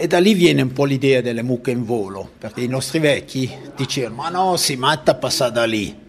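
A man speaks at a fairly quick pace with lively intonation. Noticeable background noise runs beneath him. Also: medium pitch for a man. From Italian-speaking Switzerland. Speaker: local author. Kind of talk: interview.

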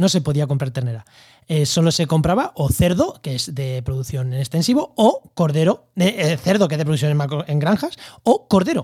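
With lively intonation, a man speaks at a fairly high pitch and a moderate pace. His tone is dark and mellow. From Spain, La Mancha (Albacete). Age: 30s. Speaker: podcast host, ecologist. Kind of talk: casual interview.

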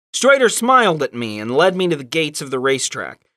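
On a very clean recording with a silent background, a man with a bright, sharp tone and a fairly high pitch speaks in a playful tone with very wide pitch swings. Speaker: podcast host. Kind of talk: casual comedic chat with story reading. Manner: playful, joking.

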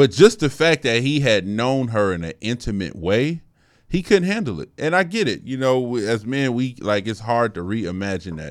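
In a very clean recording with a silent background, a man with an American accent and a medium pitch makes very wide pitch swings. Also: moderate pace. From Colorado. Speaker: podcast co-host. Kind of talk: casual chat.

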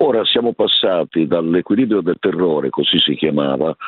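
Very wide pitch swings from a male speaker at a moderate pace. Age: 70s. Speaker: association president. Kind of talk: phone interview. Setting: phone call. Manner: formal.

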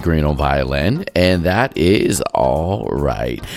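A man's voice over background music. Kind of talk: radio DJ patter introducing and back-announcing tracks on a jazz music show.

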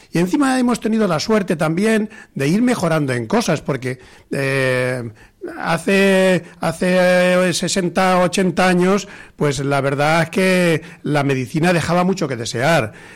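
A man's high-pitched voice, very slow in pace, with lively intonation and very even loudness. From rural Spain. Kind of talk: talk radio panel discussion. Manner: halting.

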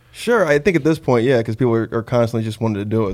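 Music plays in the background. A man with a medium pitch talks at a very fast pace. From California, born in Los Angeles, raised in rural areas. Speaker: comedian. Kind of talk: casual banter.

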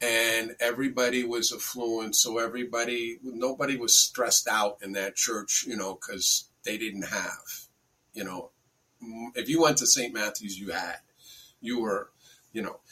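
This man talks with an American accent at a medium pitch and a moderate pace, in an ordinary speaking voice with fairly even intonation. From US Northeast (Bedford, New York). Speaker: spiritual teacher. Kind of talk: interview.

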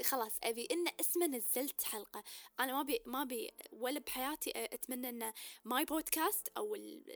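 A woman's high-pitched voice with very wide pitch swings, a moderate pace, and a dry, close sound free of echo. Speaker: podcast host. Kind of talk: casual monologue with code-switching to English.

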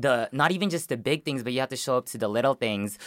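A man's medium-pitched voice comes through on a very clean recording with a silent background. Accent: Southern California. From Philippines, raised in West Long Beach, California. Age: 20s. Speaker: community organizer. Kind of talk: radio interview. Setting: studio.

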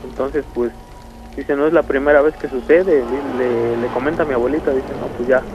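Music plays in the background as a man talks at a moderate pace. His fairly high voice has monotone, flat intonation. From Mexico, Nochixtlán, Oaxaca. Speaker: caller telling a paranormal story. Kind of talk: storytelling on a phone call. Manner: hesitant, many fillers.

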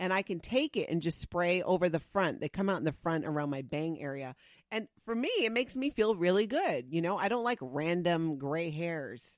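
A woman's fairly low-pitched voice, a normal speaking voice, with lively intonation and hardly any pauses. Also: moderate pace. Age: 40s. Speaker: podcast co-host. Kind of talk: casual chat.

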